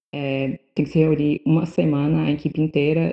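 Fairly quick delivery in a flat monotone. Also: woman. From western Bahia, Brazil (Barreiras). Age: 20. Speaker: psychology student. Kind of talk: casual chat.

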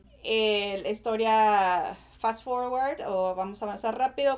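Captured on a very clean recording with a silent background, a woman with a fairly high pitch speaks in an unremarkable speaking voice. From Mexico, Monterrey. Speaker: marketing and human development professional. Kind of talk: podcast interview.

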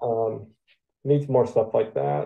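A man talks with an American accent. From Michigan, US. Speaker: wrestling belt designer. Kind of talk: interview. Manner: halting, many fillers.

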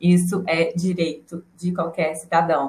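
Fairly low-pitched, somewhat breathy female voice, monotone and flat, at a fairly slow pace. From Brasília. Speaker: psychologist. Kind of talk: casual chat.

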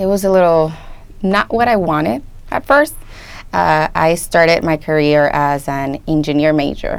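A woman speaks at a fairly slow pace in a Spanish accent, her fairly low voice broken by long, frequent pauses. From Colombia, moved to US at 13. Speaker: first grade dual language teacher. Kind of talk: interview.

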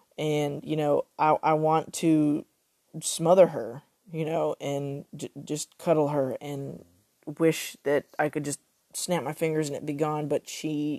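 With an American accent, a woman speaks in a very deep, low pitch. The recording is very clean with a silent background and a dry, close sound with no echo. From Texas. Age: 30s. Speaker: podcaster, suicide survivor. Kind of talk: personal testimony. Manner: halting.

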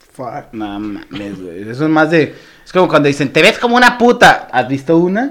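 Over noticeable background noise, a man with a fairly high pitch talks at a moderate pace, his pitch swinging very widely and his loudness rising and falling sharply. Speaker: comedian. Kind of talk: casual chat. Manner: animated.

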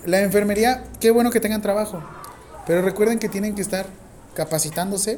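Speaking fairly quickly with a Mexican accent, a man has a high pitch and fairly even intonation. He leaves long, frequent pauses. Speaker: nursing professor. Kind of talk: classroom lecture. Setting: classroom with students. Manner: informal, joking.

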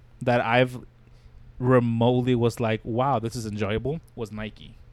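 This man's voice sits at a medium pitch. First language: not English (English is second language). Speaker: podcast host. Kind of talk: casual chat.

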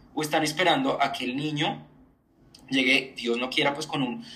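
Here a man uses a normal speaking voice at a fairly high pitch. His pace is moderate and his intonation fairly even. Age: 20s. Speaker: journalist and communicator. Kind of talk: personal testimony in interview.

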